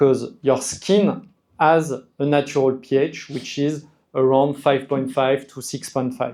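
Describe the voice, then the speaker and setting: With a French accent, a man keeps his intonation fairly even. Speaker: skincare brand representative explaining products. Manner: hesitant, repeats words.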